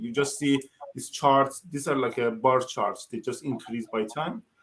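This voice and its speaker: A man with a non-native accent and a fairly high pitch, at a moderate pace. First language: not English. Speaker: professor and testing consultant. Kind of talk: conference tutorial Q&A.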